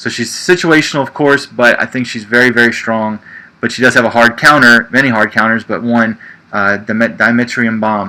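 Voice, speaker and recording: A man with an American accent has an unremarkable speaking voice at medium pitch. He talks at a fairly quick pace with ordinary pitch variation. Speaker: livestream show host, card game player. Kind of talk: casual livestream chat about a card game. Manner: conversational, frequent fillers.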